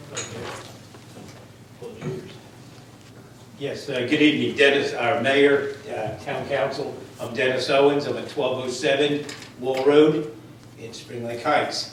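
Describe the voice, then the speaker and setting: A man with an American accent speaks at a fairly high pitch and a fairly slow pace, with fairly even intonation, big swings in loudness and long, frequent pauses. Noticeable background noise and audible room echo come through. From New Jersey. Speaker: resident speaking at public comment. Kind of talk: public comment at council meeting.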